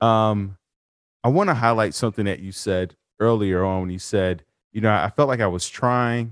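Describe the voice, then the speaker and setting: A man talks with ordinary pitch variation at a moderate pace, on a very clean recording with a silent background. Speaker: podcast host and life coach. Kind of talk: interview. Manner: animated.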